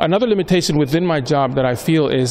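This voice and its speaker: Noticeable background noise sits behind this recording. A man with an American accent talks at a fairly quick pace. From Honduras, Tegucigalpa. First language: Spanish. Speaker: corporate strategy manager. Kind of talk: interview. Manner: hesitant, frequent fillers.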